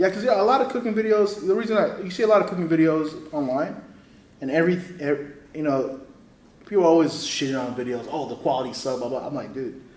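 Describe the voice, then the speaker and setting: Delivered at a very fast pace with lively intonation and an animated tone, the voice carries noticeable background noise and audible room echo. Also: man. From Houston, Texas (born in Saudi Arabia, moved to US 1998). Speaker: cooking show contestant, home cook and content creator. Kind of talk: casual chat. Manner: casual, slangy, animated.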